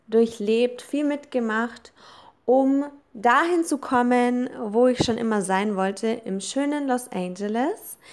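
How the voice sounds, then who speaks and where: A woman's high-pitched voice at a very slow pace with ordinary pitch variation, on a very clean recording with a silent background. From Germany, Allgäu (Kaufbeuren). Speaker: business coach. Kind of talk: podcast introduction monologue.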